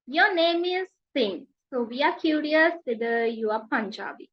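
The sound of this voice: A woman talks with a high pitch and lively intonation. Her pace is fairly slow.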